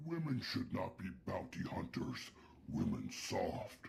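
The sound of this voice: Putting on a character voice, a man talks slowly at a low pitch with vocal fry and very wide pitch swings.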